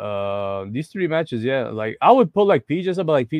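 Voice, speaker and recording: A man with an Arabic accent talks at a fairly quick pace. The sound is dry and close with no echo, over a quiet background. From Egypt. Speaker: professional wrestler. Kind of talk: casual interview chat.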